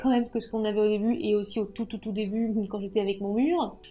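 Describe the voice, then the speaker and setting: A woman speaks at a very fast pace in a dark, mellow tone. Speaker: YouTuber. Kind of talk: channel review vlog.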